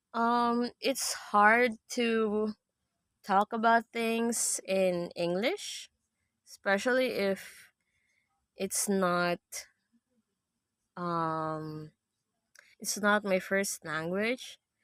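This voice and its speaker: Recorded very cleanly with a silent background and a dry, close sound with no echo, a woman with a Filipino accent speaks at medium pitch and a very slow pace, with ordinary pitch variation and long, frequent pauses. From Philippines. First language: Tagalog. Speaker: live streamer. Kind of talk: casual chat. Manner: halting.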